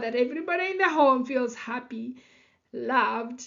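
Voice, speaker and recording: A woman's high-pitched voice in a Kenyan accent at a fairly slow pace. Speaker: psychology educator and life coach. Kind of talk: lecture. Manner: many fillers (you know, um).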